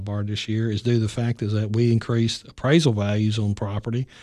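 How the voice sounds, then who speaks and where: This man speaks with a Tennessee accent. His pace is fairly quick. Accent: Southern US (Tennessee). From US South, Middle Tennessee. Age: 50s. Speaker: county executive, retired army officer. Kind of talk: interview.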